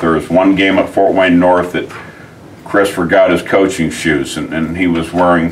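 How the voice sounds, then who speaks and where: A man at a moderate pace, very deep and low in pitch, with light background noise. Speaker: football coach. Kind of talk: interview answer. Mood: fond, amused reminiscing. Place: office.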